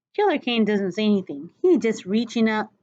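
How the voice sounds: Lively intonation marks a natural reading voice in this recording.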